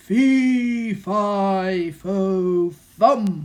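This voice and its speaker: Someone bellows in a put-on character voice at a middle pitch. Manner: angry, roaring.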